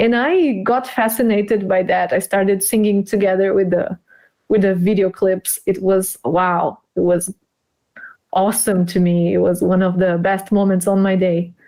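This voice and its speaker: A woman with a Portuguese accent speaks at a moderate pace with a dark, mellow tone. Her intonation is fairly even and her loudness very even. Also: medium pitch for a woman. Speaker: English teacher. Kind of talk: live stream interview.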